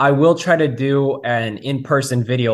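A man's unremarkable speaking voice with an American accent, medium pitch and ordinary pitch variation. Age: 20s. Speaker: realtor. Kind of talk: interview.

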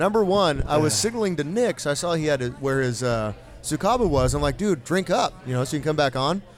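Over music in the background, a man with a fairly high pitch talks at a very fast pace with hardly any pauses, very wide pitch swings and very even loudness. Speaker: podcast host. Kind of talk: live podcast recording with audience, casual banter. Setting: live venue with audience. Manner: animated, emcee-like.

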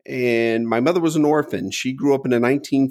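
A man with a plain, everyday voice speaks at a moderate pace and medium pitch with fairly even intonation. The very clean recording has a silent background and a dry, close sound with no echo. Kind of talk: casual interview conversation.

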